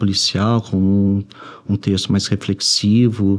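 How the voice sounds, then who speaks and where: Soft-spoken, a man with a Brazilian accent talks at a fairly slow pace. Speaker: writer. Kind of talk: interview. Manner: halting.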